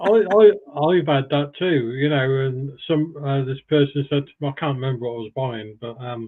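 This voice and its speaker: Here is a man with a plain, everyday voice and fairly high pitch. He talks at a moderate pace with ordinary pitch variation. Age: 60s. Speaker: live stream panelist. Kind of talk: casual chat.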